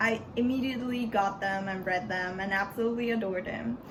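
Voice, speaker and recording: A woman speaks with a Spanish accent. The room echo is easy to hear. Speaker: book vlogger. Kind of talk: casual book review vlog. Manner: halting, repeats words.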